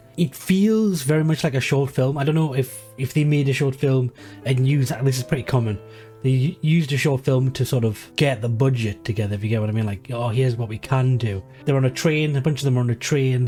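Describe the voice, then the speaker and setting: A man speaks at a fairly quick pace with ordinary pitch variation and a medium pitch. Music plays in the background. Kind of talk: casual talk to camera.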